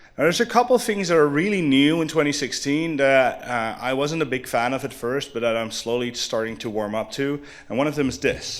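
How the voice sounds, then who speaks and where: The speech runs at a fairly quick pace with lively intonation and hardly any pauses, against noticeable background noise. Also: man, fairly high pitch for a man. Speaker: conference speaker. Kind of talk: conference talk. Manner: fast.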